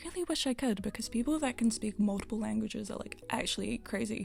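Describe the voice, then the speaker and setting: A woman's fairly high voice at a very fast pace. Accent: New Zealand. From New Zealand. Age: 20s. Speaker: gaming content creator. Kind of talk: casual chat.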